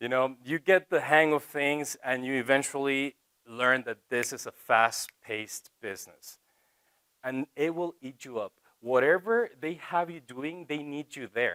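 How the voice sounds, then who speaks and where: A man with a Spanish accent, fairly high pitch and a bright, sharp tone, at a fairly slow pace with ordinary pitch variation, big swings in loudness and a dry, close sound with no echo. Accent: Spanish accent in English, choppy. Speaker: TV reporter. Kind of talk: college talk to students.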